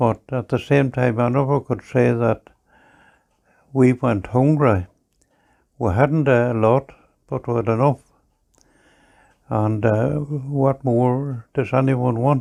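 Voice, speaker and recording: In a Northern Irish accent, the speaker talks at a very slow pace with long, frequent pauses, a dark, mellow tone and fairly even intonation. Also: man, medium pitch for a man. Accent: Northern Irish (Ulster). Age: 90s. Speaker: farmer. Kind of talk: oral history interview.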